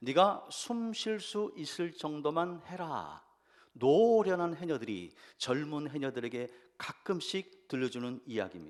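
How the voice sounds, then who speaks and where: A man's fairly high voice, very slow, with very wide pitch swings. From Jeju Island, Korea. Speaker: pastor. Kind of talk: sermon.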